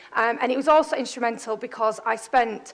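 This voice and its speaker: A woman's fairly high voice with a Yorkshire accent and fairly even intonation. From northern England, Bradford. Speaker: startup founder and CEO. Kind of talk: conference talk. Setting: stage with audience. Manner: loud; fast.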